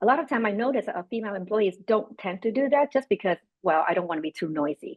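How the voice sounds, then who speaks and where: At a very fast pace, a woman speaks with a Vietnamese accent and lively intonation. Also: medium pitch for a woman. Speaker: panelist, business leader. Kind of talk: panel discussion.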